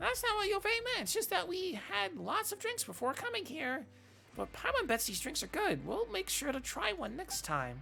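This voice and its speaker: A female-sounding put-on character voice with an extremely high pitch speaks at a moderate pace over clear background noise. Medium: game stream. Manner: refers to self in third person.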